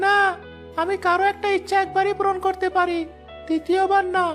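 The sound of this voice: Clear music plays in the background. A cartoonish character voice with an extremely high pitch speaks at a moderate pace.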